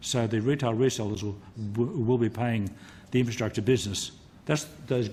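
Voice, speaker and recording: With an Australian accent, a man speaks in a somewhat breathy voice with a dark, mellow tone. His pitch is medium with ordinary variation, and he leaves long, frequent pauses. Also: fairly quick pace. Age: 60s. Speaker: retired telecommunications engineer. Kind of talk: parliamentary committee testimony. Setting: committee hearing room. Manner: halting, many repetitions.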